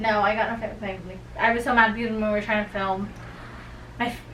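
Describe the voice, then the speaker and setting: A woman's medium-pitched voice at a fairly quick pace, with fairly even intonation, noticeable background noise and audible room echo. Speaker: podcast co-host. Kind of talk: casual chat.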